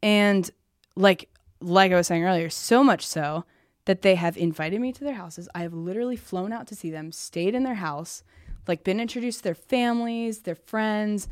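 On a very clean recording with a silent background, a woman with an American accent and a normal speaking voice talks at a medium pitch and moderate pace, with ordinary pitch variation and big swings in loudness. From US Midwest, small-town Indiana. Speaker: podcast host and interview guest. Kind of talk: personal testimony interview. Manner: casual, filler-heavy.

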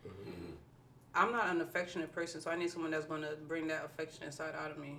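A woman talks at a very fast pace with a fairly low pitch. Noticeable background noise runs underneath. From New Jersey, Irvington. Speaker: podcast co-host. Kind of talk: casual chat.

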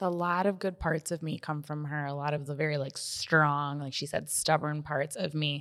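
A woman with a very deep, low pitch speaks in an American accent at a moderate pace, with hardly any pauses. Her intonation is monotone and flat, and the recording is very clean, with a silent background. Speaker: podcast co-host. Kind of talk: casual chat.

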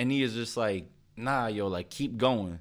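A man speaks at a fairly slow pace with a fairly low pitch. The recording is very clean, with a silent background. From Philadelphia, US. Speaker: clothing brand founder and rapper. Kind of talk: casual interview chat. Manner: animated.

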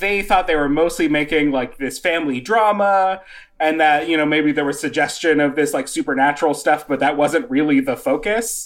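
A plain, everyday voice from a man, fairly high in pitch with ordinary pitch variation and a moderate pace, on a very clean recording with a silent background. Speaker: illustrator and folk horror fan. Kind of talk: casual chat.

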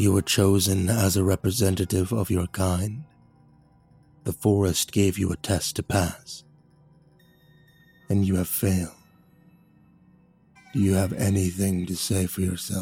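A man puts on a character voice that is very deep, low and rumbling, speaking at a moderate pace with long, frequent pauses. Faint music plays in the background. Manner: stern, judging.

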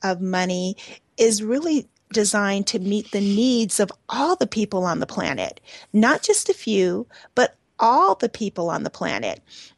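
A woman speaks at a fairly slow pace and a fairly high pitch, with lively intonation. It is an ordinary speaking voice, heard with a dry, close sound with no echo. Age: 50s. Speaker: radio host and energy healer. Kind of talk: radio interview show.

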